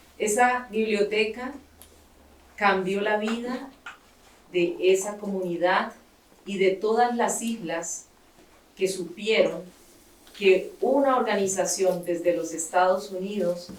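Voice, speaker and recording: A woman at a medium pitch and moderate pace, with ordinary pitch variation, long, frequent pauses and audible room echo. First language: Spanish. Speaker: writer and founder of a library nonprofit. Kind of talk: speech with consecutive interpretation. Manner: pausing for interpreter, short segments.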